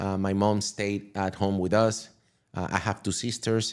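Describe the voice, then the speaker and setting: Speech in a Venezuelan accent comes at a fairly slow pace in a very clean recording with a silent background. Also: man. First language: Spanish. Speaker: crypto entrepreneur. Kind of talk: podcast interview. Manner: halting.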